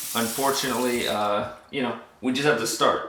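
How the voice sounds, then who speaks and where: There is audible room echo as a man talks in a medium pitch at a moderate pace. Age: 30s. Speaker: military veteran vlogger. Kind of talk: casual vlog monologue. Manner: halting.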